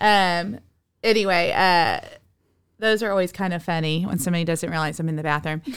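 A woman with an American accent has a normal speaking voice. Her pitch is fairly low and her intonation fairly even. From Texas, Dallas. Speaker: yoga teacher. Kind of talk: casual chat.

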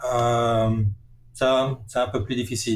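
This is a man speaking at a medium pitch. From Alsace, France (Strasbourg). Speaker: software engineering professor. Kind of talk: interview. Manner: hesitant, many filler sounds.

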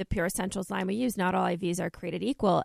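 Against a quiet background, a woman's medium-pitched voice with vocal fry comes through dry and close with no echo. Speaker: radio host. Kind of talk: radio infomercial, scripted-sounding sales pitch for a clinic. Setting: radio studio. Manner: polished, upbeat, promotional.

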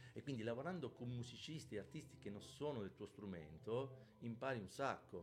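Lively intonation and vocal fry mark this moderate-paced speech with hardly any pauses. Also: man, medium pitch for a man. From southern Italy, Calabria (Pizzo Calabro). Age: 50s. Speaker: bass player. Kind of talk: casual interview. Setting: live-streamed podcast.

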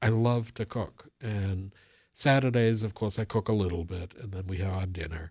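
Recorded very cleanly against a silent background, a man with an American accent talks in a normal speaking voice, fairly low in pitch with ordinary pitch variation. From Boston area, US. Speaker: local historian and author. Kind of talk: radio interview.

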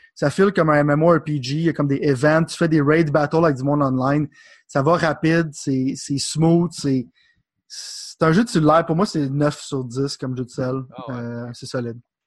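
Over a quiet background, someone talks at a moderate pace in a Quebec accent with ordinary pitch variation. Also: man, fairly high pitch for a man. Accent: Québécois French. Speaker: podcast co-host. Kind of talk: casual chat.

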